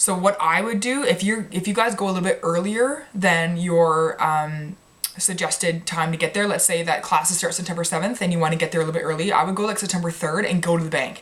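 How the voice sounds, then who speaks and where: Speaking at a very fast pace with hardly any pauses, a woman with a Canadian accent uses a fairly low pitch and ordinary pitch variation. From Canada. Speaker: medical student vlogger. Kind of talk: casual vlog advice.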